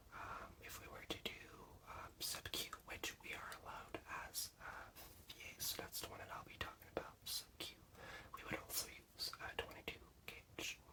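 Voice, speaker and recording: The speaker is whispering. Noticeable background noise runs underneath. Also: man, moderate pace. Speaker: veterinary assistant student. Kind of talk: ASMR study-with-me teaching. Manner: soft-spoken.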